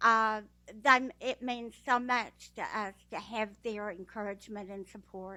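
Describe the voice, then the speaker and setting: In a Texas accent, a woman speaks fairly slowly, with a fairly high pitch and a bright, sharp tone. Her intonation is fairly even, her loudness swings widely, and the recording is very clean with a silent background. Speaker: blind guide dog user, graduate. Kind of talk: speech at a ceremony.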